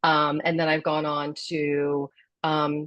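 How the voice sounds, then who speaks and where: This is a woman speaking. Her pitch is fairly low. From US Midwest, Columbus, Ohio. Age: 60s. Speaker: wellness advocate. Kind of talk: podcast interview. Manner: animated.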